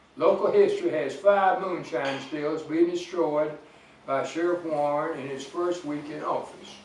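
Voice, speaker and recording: Noticeable background noise sits behind this recording. A man speaks at a moderate pace with a high pitch. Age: 80s+. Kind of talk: public history talk. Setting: live audience.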